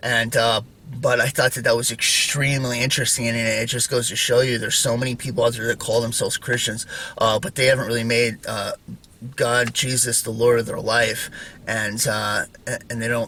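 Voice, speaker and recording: Over noticeable background noise, a man talks at a fairly quick pace in a medium pitch with monotone, flat intonation. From North Idaho. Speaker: religious YouTuber. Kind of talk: casual monologue. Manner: fast; many fillers.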